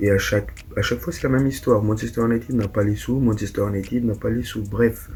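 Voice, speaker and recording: A man speaks with a fairly low pitch and fairly even intonation. Noticeable background noise is present. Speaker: football YouTuber. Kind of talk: casual vlog commentary. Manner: hesitant, many fillers.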